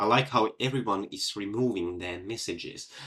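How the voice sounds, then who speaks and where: A man with a Finnish accent, fairly low in pitch, speaking fairly slowly with ordinary pitch variation. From Finland. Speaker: physics olympiad competitor solving problems. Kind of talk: live problem-solving stream. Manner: halting, many fillers.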